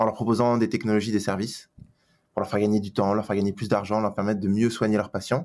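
A man speaks at a fairly low pitch with a dark, mellow tone. The recording is very clean, with a silent background. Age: 30s. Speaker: HR executive at a large startup. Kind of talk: interview.

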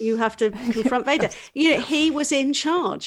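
Lively in intonation, a woman talks at a fairly slow pace in a plain, everyday voice. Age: 40s. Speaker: business coach. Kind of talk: casual chat.

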